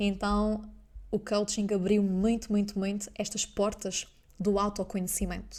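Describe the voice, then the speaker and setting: A woman with a medium pitch and a dark, mellow tone speaks at a fairly slow pace in a monotone, flat way. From Azores, Portugal. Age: 20s. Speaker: business mentor and coach. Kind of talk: podcast monologue.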